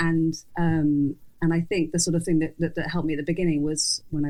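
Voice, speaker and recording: A woman's very deep, low voice with an English accent, dark, mellow tone, monotone, flat intonation and very fast pace. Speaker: journalist and fashion editor. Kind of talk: interview conversation. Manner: mumbling; halting.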